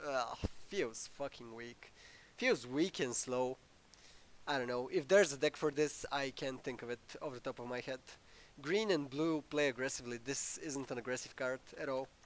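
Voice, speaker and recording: A man talks at a moderate pace and medium pitch. He has a plain, everyday voice with ordinary pitch variation. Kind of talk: casual gameplay commentary.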